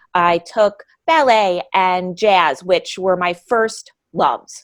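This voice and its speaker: Speaking very slowly, a woman talks with a downstate New York accent. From downstate New York (Hudson Valley). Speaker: adult ballet dancer and studio owner. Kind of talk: podcast interview. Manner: hesitant, many fillers.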